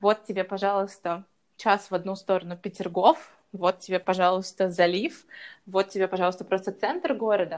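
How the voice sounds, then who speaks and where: A woman speaks in a plain, everyday voice at a medium pitch with ordinary pitch variation. Her moderate pace comes through on a very clean recording with a silent background. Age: 20s. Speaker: lifestyle blogger. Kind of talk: casual interview chat.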